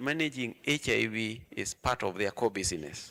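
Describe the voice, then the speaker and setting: A man with vocal fry and a bright, sharp tone, recorded dry and close with no echo. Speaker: HIV health advocate panelist. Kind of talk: panel discussion. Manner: loud.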